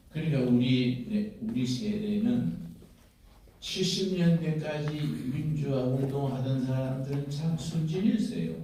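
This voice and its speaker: A man's fairly high voice with lively intonation at a very slow pace, with audible room echo. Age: 80s+. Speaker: pastor and veteran democracy activist. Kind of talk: speech at a rally. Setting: auditorium stage with audience.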